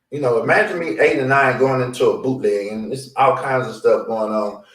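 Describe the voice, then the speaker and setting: Speaking at a fairly quick clip with lively intonation, a man with a medium-pitched voice is heard against audible room echo. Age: 50s. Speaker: peer recovery support specialist. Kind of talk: interview. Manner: conversational, halting.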